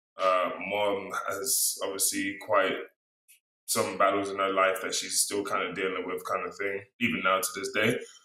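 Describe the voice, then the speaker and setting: A man with an American accent speaks at a moderate pace. Audible room echo surrounds his voice. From London, then US. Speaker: speaker sharing life story. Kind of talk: interview.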